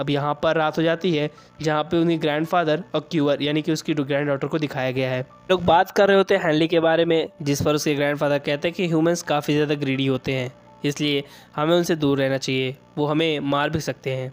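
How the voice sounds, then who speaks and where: Over music in the background, a man speaks at a fairly high pitch and moderate pace with fairly even intonation. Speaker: anime recap narrator. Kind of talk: story recap narration. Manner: not loud.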